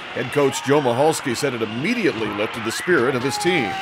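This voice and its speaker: Music plays in the background as a man speaks. His intonation is lively and his pace fairly quick. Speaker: local news reporter / sports announcer. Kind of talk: local news sports report.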